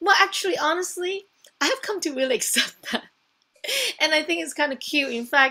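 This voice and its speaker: With a non-native accent, a woman projects a raised voice at an extremely high pitch, her bright, sharp tone and lively intonation moving at a fairly quick pace broken by long, frequent pauses. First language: not English. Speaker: wellness coach. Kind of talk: coaching session demo. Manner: hesitant, many fillers.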